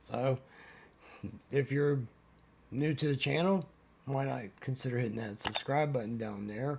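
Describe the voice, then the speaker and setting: Somewhat breathy, a man speaks at a fairly slow pace with long, frequent pauses and ordinary pitch variation. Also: medium pitch for a man. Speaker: van life vlogger. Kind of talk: casual vlog outro. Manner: halting, repeats words.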